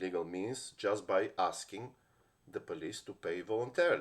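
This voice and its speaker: Here a man speaks with a Bulgarian accent at a moderate pace. The recording is very clean, with a silent background. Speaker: lawyer. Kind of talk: personal story monologue. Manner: halting, many fillers and restarts.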